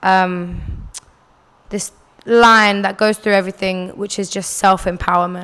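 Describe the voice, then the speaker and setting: A woman speaks with a London accent at a moderate pace. Her pitch is medium. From North London, UK (born in Algeria, moved at four). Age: 20s. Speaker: singer. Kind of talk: interview answers. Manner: casual, many fillers.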